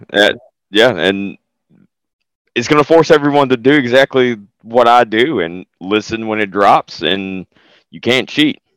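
A man with a strong Southern US accent, medium pitch, fairly slow pace and long, frequent pauses, in a dry, close sound with no echo. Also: lively intonation, very clean recording, silent background. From US South. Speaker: podcast voice actor. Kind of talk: casual interview chat.

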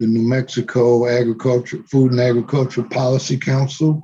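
With an American accent, the voice is dark and mellow, somewhat breathy, and moves at a moderate pace. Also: man. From East Los Angeles, California. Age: 70s. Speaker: retired farmer and advocate. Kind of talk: casual interview conversation. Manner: conversational, informal.

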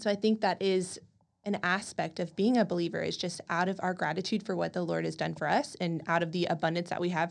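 Someone with an American accent talks very fast with vocal fry and fairly even intonation. The background is quiet. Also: woman, fairly low pitch for a woman. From College Station, Texas. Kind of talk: casual faith discussion.

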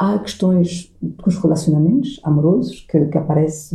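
At a moderate pace, the speaker delivers words in a somewhat breathy voice. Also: woman. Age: 50s. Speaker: coach and NLP trainer. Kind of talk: casual interview. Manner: halting, frequent repetitions.

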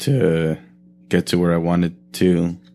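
Over music in the background, a man talks with an American accent. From US West Coast, Oxnard, California. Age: 30s. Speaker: musician and artist. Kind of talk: casual chat.

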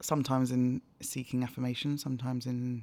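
A woman talks with a London accent. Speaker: charity media lead and broadcaster. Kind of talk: interview.

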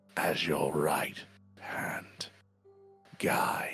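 A raspy, put-on character voice from a man, with faint music in the background. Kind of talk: sinister villain voice. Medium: actual play. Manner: formal, measured, ominously grand.

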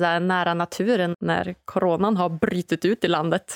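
A woman speaks at a medium pitch with vocal fry. The recording is very clean and dry, close with no echo and a silent background. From northern Sweden (Umeå). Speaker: podcast host. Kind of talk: podcast interview. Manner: animated.

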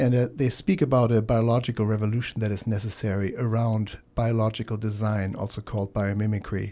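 In a German accent, a man speaks at a fairly quick pace with hardly any pauses, a dark, mellow tone and fairly even intonation, on a very clean recording with a silent background. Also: medium pitch for a man. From Germany. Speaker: radio host. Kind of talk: radio talk show. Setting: studio.

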